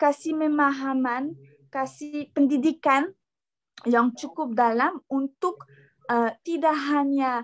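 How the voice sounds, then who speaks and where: With a non-native accent, the speaker talks very slowly with ordinary pitch variation in a dry, close sound with no echo. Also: woman. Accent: non-native Indonesian. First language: not Indonesian (speaking Indonesian). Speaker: workshop speaker. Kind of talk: lecture. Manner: halting, many fillers and restarts; informal, relaxed.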